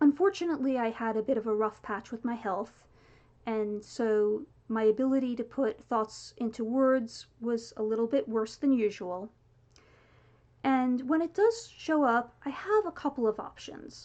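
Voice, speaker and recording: This woman's voice is high-pitched. Her pace is moderate. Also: ordinary pitch variation. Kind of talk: casual talk to camera. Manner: occasional involuntary word repetitions (palilalia).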